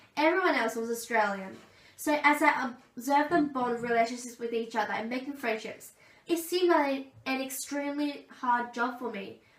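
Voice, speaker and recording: A woman's high-pitched voice at a moderate pace, ordinary pitch variation, and audible room echo. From Australia (Gold Coast). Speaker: aspiring teacher. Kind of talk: presentation speech.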